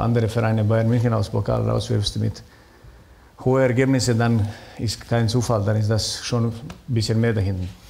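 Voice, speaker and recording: At a moderate pace, a man speaks with very even loudness. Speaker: former footballer and sporting director; talk show guest. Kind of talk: talk show discussion. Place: stage.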